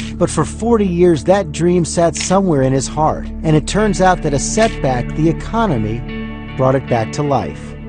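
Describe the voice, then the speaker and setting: A man talks at a moderate pace with very even loudness and hardly any pauses while music plays in the background. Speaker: TV news anchor. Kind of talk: TV news feature narration.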